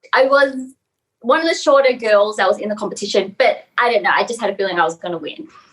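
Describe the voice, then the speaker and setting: A woman speaks fairly quickly in a high voice with an Australian accent. Her pitch swings very widely. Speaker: model and actress. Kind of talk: interview.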